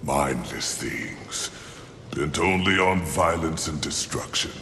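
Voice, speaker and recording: In a put-on character voice, a man speaks at a very deep, low pitch and a fairly slow pace, with clear echo and clear background noise around him. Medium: video game. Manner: grandiloquent, measured.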